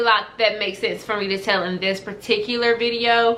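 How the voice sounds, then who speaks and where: Her voice is fairly high, with fairly even intonation and a fairly quick pace. Noticeable background noise and audible room echo surround the woman. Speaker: lifestyle vlogger. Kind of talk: casual talk to camera. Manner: fast.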